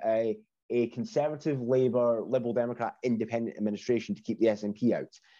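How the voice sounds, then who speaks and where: Speaking with a Scottish accent, a man delivers his words at a fairly quick pace in a dark, mellow tone. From Scotland. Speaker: former political strategist. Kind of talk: casual interview.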